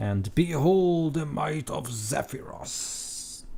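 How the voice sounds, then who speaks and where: Putting on a character voice, a man speaks at a very slow pace. His pitch is fairly high. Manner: proclaiming, grand.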